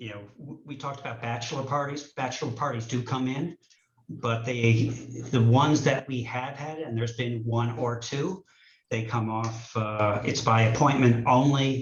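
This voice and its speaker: A somewhat breathy man's voice at medium pitch, fairly even intonation, moderate pace and big swings in loudness. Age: 60s. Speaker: distillery owner. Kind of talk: hearing testimony.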